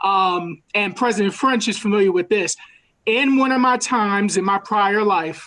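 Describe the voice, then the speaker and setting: Speaking with a New York accent, a woman keeps a moderate pace. Her loudness stays very even, and her pitch varies in an ordinary way. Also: medium pitch for a woman. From New York City. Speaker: university student affairs administrator. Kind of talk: virtual town hall presentation. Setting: video call. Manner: halting.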